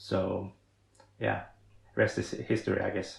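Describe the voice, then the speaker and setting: The speaker is a man with a Swedish accent. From Sweden. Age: 30s. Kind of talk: podcast interview. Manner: halting, many fillers and repetitions.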